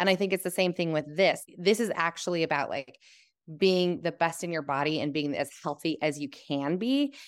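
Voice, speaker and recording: Speaking at a moderate pace, a woman has an unremarkable speaking voice, fairly low in pitch with ordinary variation. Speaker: program alum. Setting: video call.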